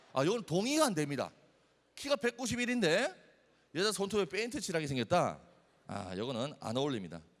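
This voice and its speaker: A man with a Busan accent, high-pitched and animated, at a fairly quick pace with very wide pitch swings and long, frequent pauses, on a very clean recording with a silent background. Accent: Busan dialect (Gyeongsang). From South Korea, Busan. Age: 20s. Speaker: youth speaker. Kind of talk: sermon.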